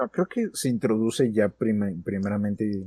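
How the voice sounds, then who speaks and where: Recorded with a dry, close sound and no echo, a man talks at a fairly slow pace with a fairly low pitch, a dark, mellow tone and ordinary pitch variation. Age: young. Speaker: podcast host. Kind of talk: casual chat.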